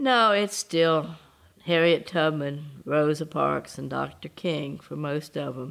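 A woman with a Southern US accent speaks at a very slow pace and a very deep, low pitch. The recording is very clean, with a silent background. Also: ordinary pitch variation, big swings in loudness. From US South. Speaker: civil rights activist. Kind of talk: interview testimony.

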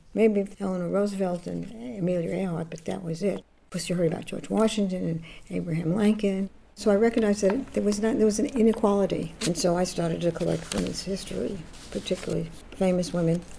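Against noticeable background noise, someone with a New York accent talks at a very fast pace with ordinary pitch variation. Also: woman, medium pitch for a woman. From New York City (Bronx). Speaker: feminist activist and collector. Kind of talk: interview.

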